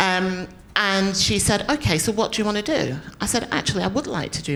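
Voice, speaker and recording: With a northern English accent, a woman speaks at a moderate pace. Her pitch is medium. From northern England, Preston, Lancashire. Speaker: business executive, panelist. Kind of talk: panel discussion.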